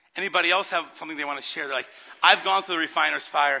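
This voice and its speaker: Vocal fry runs through this man's voice. He speaks very fast. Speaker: pastor. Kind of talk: sermon. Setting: church with congregation. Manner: loud.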